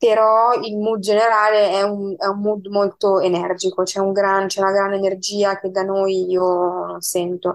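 Monotone, flat intonation marks this woman's medium-pitched voice at very even loudness. She speaks at a fairly slow pace. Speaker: guest. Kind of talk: casual chat. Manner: halting.

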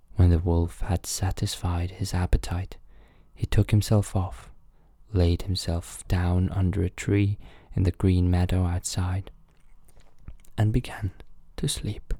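The voice is somewhat breathy with a dark, mellow tone, moving at a fairly slow pace with long, frequent pauses in a very clean recording with a silent background. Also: man, very deep, low pitch for a man. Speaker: podcast host and storyteller. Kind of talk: bedtime story reading aloud. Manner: calm, soothing, slow.

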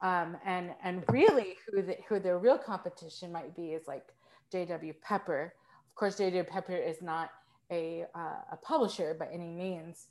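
Her loudness swings widely, though her pitch is medium with ordinary variation. This woman has a normal speaking voice. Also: fairly slow pace. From Texas. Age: 30s. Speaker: composer. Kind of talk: casual chat. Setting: video call.

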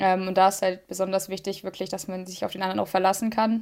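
The voice belongs to a woman. Its pitch is medium. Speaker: podcast co-host. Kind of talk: casual chat. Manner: long pauses between words.

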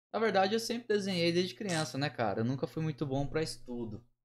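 At a medium pitch, a man talks with very wide pitch swings. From Minas Gerais, Pouso Alegre. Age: 30s. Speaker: tattoo artist. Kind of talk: casual chat.

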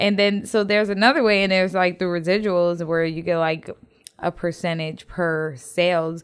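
At a moderate pace, a woman speaks with fairly low pitch, fairly even intonation, and an unremarkable speaking voice. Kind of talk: casual interview chat. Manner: casual, joking, profane.

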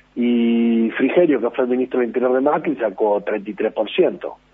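In a Rioplatense accent, a man talks at a medium pitch. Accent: Argentine Spanish (rioplatense). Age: 50s. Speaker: politician. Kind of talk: radio interview.

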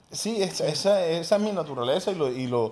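This man speaks with lively intonation. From Colombia, Cartagena (Caribbean coast). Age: 30s. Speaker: entrepreneur and former radio host. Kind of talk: casual interview conversation.

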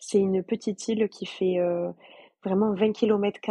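Very slowly, a woman speaks in dry, close sound with no echo. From France, Toulouse. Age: 20s. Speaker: former volunteer. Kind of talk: casual interview.

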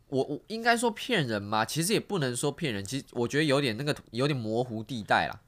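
Fairly quick speech from a man at medium pitch, with very wide pitch swings, on a very clean recording with a silent background. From Taiwan. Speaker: street dancer and exchange student. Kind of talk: casual chat.

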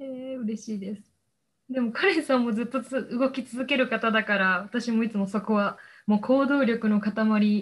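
A woman's somewhat breathy, fairly high voice at a moderate pace, with fairly even intonation, in a very clean recording with a silent background. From Osaka, Japan. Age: 20s. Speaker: recent university graduate. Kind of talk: interview.

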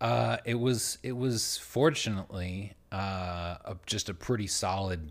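In an ordinary speaking voice, a man speaks at a fairly slow pace and fairly low pitch with lively intonation, on a very clean recording with a silent background. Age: 30s. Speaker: podcast co-host. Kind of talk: casual chat.

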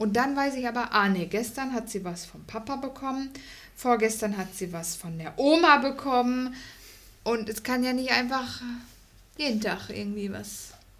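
In a room with audible echo, a woman speaks at a moderate pace. Her fairly high-pitched voice shows big swings in loudness. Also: ordinary pitch variation. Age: 30s. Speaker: host's wife. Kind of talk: casual chat.

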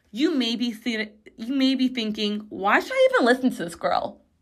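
A woman's high voice in an American accent, with ordinary pitch variation at a moderate pace. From Chicago, US Midwest. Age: 20s. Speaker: podcast host. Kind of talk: casual monologue. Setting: home recording in bathroom.

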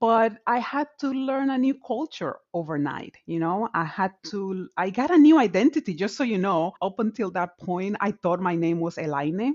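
Woman at medium pitch with a Dominican accent, very wide pitch swings, a moderate pace and hardly any pauses. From Dominican Republic. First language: Spanish. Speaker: tech executive in higher education. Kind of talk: casual interview chat.

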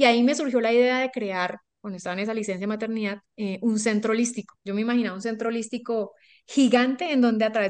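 In a Colombian accent, a woman talks at a fairly quick pace with a fairly high pitch. Her pitch varies in an ordinary way, and the background is quiet. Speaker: life coach. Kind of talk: interview storytelling.

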